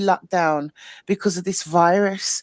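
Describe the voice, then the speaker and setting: In a very clean recording with a silent background and a dry, close sound with no echo, a woman speaks at a moderate pace in a British accent. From UK. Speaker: livestream chat guest. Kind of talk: casual chat.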